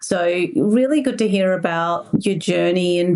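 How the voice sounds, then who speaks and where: Speaking at a fairly slow pace, a woman with an Australian accent uses a fairly low pitch. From Mexico. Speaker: podcast host. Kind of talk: podcast interview.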